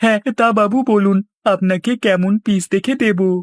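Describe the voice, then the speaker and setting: A female-sounding cartoonish character voice speaks at a fairly high pitch. The pace is fairly slow. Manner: deferential, eager.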